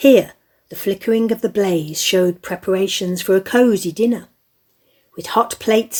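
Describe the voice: A woman speaks at a medium pitch with ordinary pitch variation, a slightly husky edge, and a slightly mellow tone.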